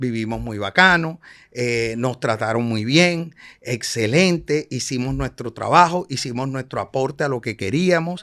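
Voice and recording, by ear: A man with a Colombian Caribbean accent, medium pitch, fairly bright tone, lively intonation, a fairly slow pace and few pauses. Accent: Colombian Caribbean coastal Spanish.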